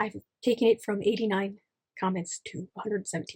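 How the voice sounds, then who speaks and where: At a fairly quick pace, a woman gets her words out. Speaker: writing YouTuber. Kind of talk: casual vlog. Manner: fast.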